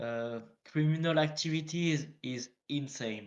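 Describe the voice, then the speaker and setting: A man speaks very slowly with a French accent. His pitch is fairly high and his intonation fairly even. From northern France. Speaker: interviewee, game role-player. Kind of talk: interview. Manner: halting.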